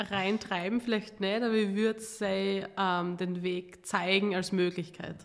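A woman's medium-pitched voice, flat and monotone, at a very slow pace with hardly any pauses. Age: 20s. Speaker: entrepreneur and pitch trainer. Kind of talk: interview conversation.

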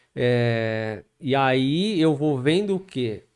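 A man is speaking. His pitch swings very widely. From Guarulhos, São Paulo state, Brazil. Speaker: pastor. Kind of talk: casual interview with life story.

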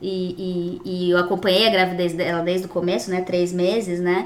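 A woman talks at a moderate pace with a medium pitch. The room echo is audible and the background noise is noticeable. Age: 30s. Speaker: digital marketing professional and mother. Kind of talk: casual chat.

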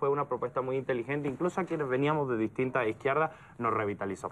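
Speaking very quickly, this man's voice sits fairly high in pitch. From Andalusia, southern Spain. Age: young. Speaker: political analyst. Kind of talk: casual chat.

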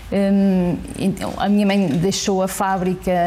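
Noticeable background noise accompanies this woman's medium-pitched voice. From northern Portugal, Santa Maria da Feira. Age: 40s. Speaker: politician. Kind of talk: interview. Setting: parliament committee room.

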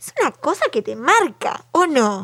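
The speaker is a woman. She talks in a Uruguayan accent. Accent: Rioplatense Spanish (Uruguay). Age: 30s. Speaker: podcast co-host. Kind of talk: casual chat.

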